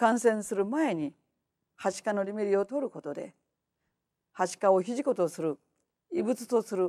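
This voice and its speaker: Dark, mellow tone at a moderate pace, with lively intonation, big swings in loudness, long and frequent pauses, and a quiet background. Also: woman. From Japan. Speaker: homeopath; lecturer. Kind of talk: lecture. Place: hall.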